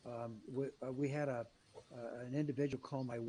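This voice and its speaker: A man's voice has a dark, mellow tone. It is somewhat breathy. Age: 80s+. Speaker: business executive and author. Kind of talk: interview. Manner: animated.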